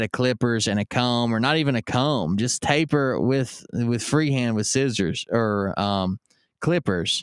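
A man with a plain, everyday voice speaks fairly slowly at a medium pitch with lively intonation, in a very clean recording with a silent background and a dry, close sound with no echo. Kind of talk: pitchman reading an old ad aloud; casual live-stream chat. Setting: live stream. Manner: joking, sarcastic asides.

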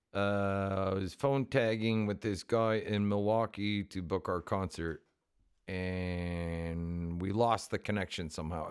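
A man speaks fairly slowly in a fairly low voice with fairly even intonation, an unremarkable speaking voice. The recording is very clean, with a silent background. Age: middle-aged. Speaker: podcast co-host and touring punk musician. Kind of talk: casual chat.

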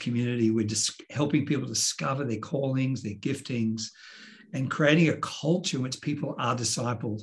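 A somewhat breathy voice with an Australian accent, a moderate pace, and ordinary pitch variation. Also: man. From Australia, Sydney. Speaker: pastor. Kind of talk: interview conversation. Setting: video call.

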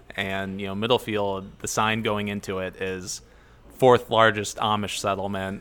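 A man with a fairly low pitch speaks in an American accent at a moderate pace. His intonation stays flat and monotone. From Ohio, US. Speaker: brewmaster. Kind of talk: casual interview. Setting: at a brewery.

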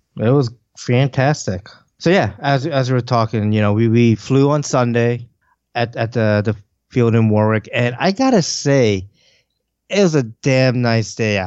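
Here is a man with an American accent in a normal speaking voice, at medium pitch. His loudness is very even, and his pitch variation is ordinary. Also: fairly slow pace. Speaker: podcast co-host, radio-control model hobbyist. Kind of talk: casual chat. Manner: laughs often.

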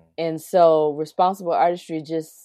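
On a very clean recording with a silent background, a woman with a very deep, low pitch and a dark, mellow tone speaks at a moderate pace in a monotone, flat intonation. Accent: South Carolina. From US South, South Carolina. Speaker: singer and musician. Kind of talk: interview.

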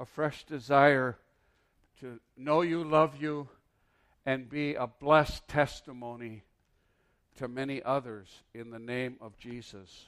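Using ordinary pitch variation, a man with an American accent speaks at a fairly high pitch. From US Midwest. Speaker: traveling preacher and seminar teacher. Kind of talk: sermon. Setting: church.

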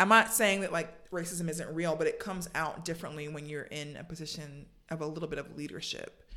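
In an American accent, a normal speaking voice moves at a fairly quick pace with ordinary pitch variation. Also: woman, fairly low pitch for a woman, hardly any pauses. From US South, Savannah, Georgia. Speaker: church member, marketing professional. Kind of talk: casual interview.

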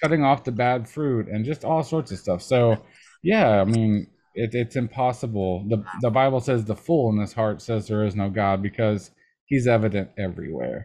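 A man with an American accent, medium pitch and a dark, mellow tone, at a moderate pace with ordinary pitch variation against a quiet background. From Texas. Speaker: podcast host. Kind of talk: sermon; casual chat. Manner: halting.

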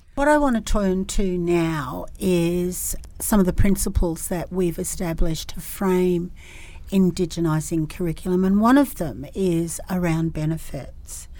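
With an Australian accent, a woman speaks fairly slowly in a fairly low voice over noticeable background noise. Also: ordinary pitch variation. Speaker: podcast host and professor. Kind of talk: interview.

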